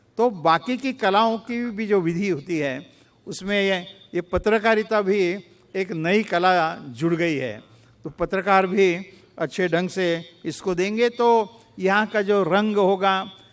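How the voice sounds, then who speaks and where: A man speaks in a Marathi accent. His pitch is high. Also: ordinary pitch variation. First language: Marathi (speaking Hindi). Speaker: chief guest dignitary. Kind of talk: formal address. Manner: formal; halting.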